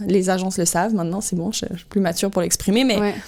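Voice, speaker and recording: A woman of medium pitch with a slight Québécois accent and monotone, flat intonation. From Quebec, Canada. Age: 30s. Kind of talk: podcast interview answer. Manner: casual, hesitant.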